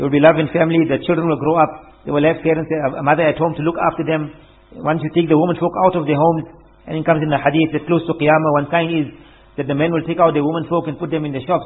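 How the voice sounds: A man at a fast pace and fairly high pitch, with few pauses, little pitch movement and a slightly husky edge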